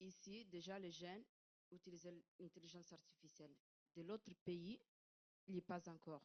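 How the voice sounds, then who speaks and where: The woman's voice is fairly low. She talks at a fairly slow pace. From Italy. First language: Italian (speaking French). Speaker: audience member asking a question. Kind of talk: audience question at conference. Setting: conference room. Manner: halting, searching for words.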